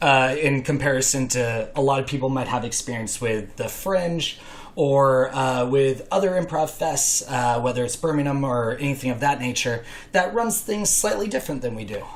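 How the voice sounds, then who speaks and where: Noticeable background noise sits under a man's fairly high voice. He speaks with an American accent and ordinary pitch variation. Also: moderate pace. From US, Los Angeles area. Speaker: improv festival organizer. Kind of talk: podcast interview. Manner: filler-heavy, casual.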